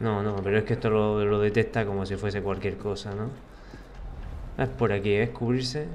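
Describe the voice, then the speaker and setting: Audible room echo surrounds a man with a fairly low pitch who speaks at a moderate pace with long, frequent pauses. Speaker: gaming youtuber. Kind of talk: let's play commentary. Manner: animated.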